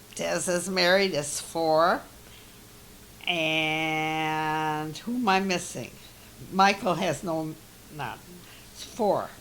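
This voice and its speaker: A woman with an American accent speaks very slowly in a very deep, low pitch, with ordinary pitch variation, big swings in loudness and long, frequent pauses. Audible room echo surrounds her voice. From US Midwest, Milwaukee Wisconsin. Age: 80s+. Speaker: interviewee, elderly mother. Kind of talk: family oral history interview. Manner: halting.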